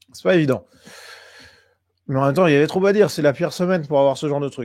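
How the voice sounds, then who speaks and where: A man with a fairly high-pitched voice is heard on a very clean recording with a silent background. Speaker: political commentator streamer. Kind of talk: live stream commentary. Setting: live stream. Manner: hesitant, many fillers.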